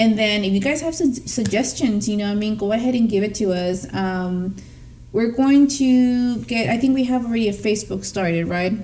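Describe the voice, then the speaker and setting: A woman with a Spanish accent talks at a moderate pace with ordinary pitch variation. Audible room echo surrounds her voice. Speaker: podcast co-host. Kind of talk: casual chat. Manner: animated.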